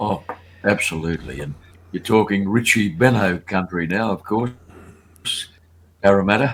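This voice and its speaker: A man with an Australian accent and a fairly low pitch speaks at a moderate pace with long, frequent pauses. The recording is very clean with a silent background. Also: ordinary pitch variation. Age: 80s. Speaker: race caller and broadcaster. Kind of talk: interview answer, reminiscing on a podcast.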